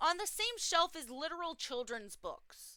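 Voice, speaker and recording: Bright and sharp in tone, a woman's voice is raised and projected. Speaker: reaction commentator. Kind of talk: reaction commentary. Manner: animated.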